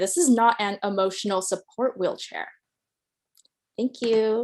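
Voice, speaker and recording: A woman is speaking. Her pitch is fairly high. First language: Mandarin Chinese. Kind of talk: casual chat; performance piece.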